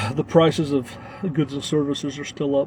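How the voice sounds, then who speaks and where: A man with an American accent speaks in a fairly high pitch and a flat monotone, over noticeable background noise. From Arkansas, US South. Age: 40s. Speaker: travel vlogger. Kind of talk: casual live stream chat. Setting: live stream. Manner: halting, many fillers.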